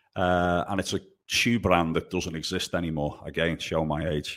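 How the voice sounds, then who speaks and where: A man with a Liverpool accent and a very deep, low pitch, on a very clean recording with a silent background. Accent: Scouse. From Liverpool, England. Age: 30s. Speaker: golf professional. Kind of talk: casual interview.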